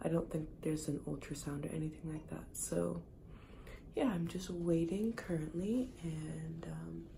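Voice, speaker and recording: A woman speaks quietly at a fairly slow pace with audible room echo. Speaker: vlogger. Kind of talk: casual vlog talk. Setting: doctor's office.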